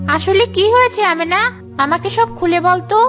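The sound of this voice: Against clear background noise, a woman performs a cartoonish character voice at an extremely high pitch. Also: moderate pace.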